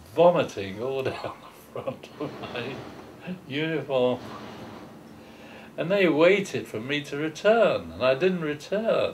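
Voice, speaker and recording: A fairly high-pitched man with a London accent, lively intonation and long, frequent pauses, over noticeable background noise. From England, London East End. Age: 80s+. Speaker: war veteran. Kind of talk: oral history interview. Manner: halting.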